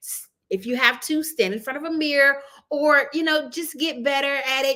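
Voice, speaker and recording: This woman's high-pitched voice is raised and projected, with a bright, sharp tone. She speaks at a fairly quick pace. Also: very clean recording, silent background. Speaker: marketing consultant and video coach. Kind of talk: tutorial. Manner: fast; casual, conversational.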